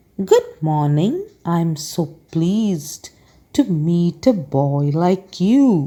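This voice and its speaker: A put-on character voice at a very slow pace. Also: woman, fairly low pitch for a woman. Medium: read story. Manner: pleasant, sly.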